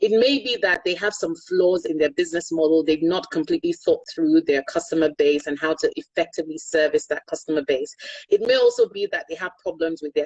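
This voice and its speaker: In a Yoruba accent, a woman speaks at a fairly quick pace with a dry, close sound and no echo. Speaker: energy consultant and finance executive. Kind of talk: interview.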